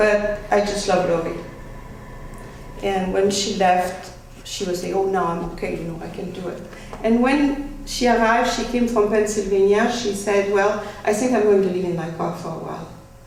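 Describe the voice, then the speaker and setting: A woman speaks at a moderate pace with a French accent, her pitch medium and its variation ordinary. The room echo is audible, and background noise is noticeable. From France. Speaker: speaker. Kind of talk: talk to a small group. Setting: small group audience.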